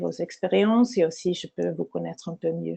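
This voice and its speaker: This woman has a dark, mellow tone and a non-native accent. The sound is dry and close, with no echo. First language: not French (speaking French). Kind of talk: webinar lecture. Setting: online webinar. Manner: halting, many hesitations.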